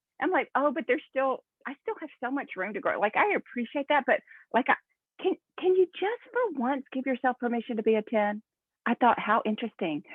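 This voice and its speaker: Her high-pitched voice swings very widely in pitch as the woman talks at a fairly quick pace. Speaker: network marketing team leader. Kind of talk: motivational talk to team via video call. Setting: video call. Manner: fast; animated.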